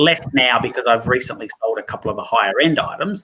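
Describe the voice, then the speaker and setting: A man speaks at a fairly quick pace. He has an Australian accent. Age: 40s. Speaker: toy collector. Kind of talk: casual interview chat.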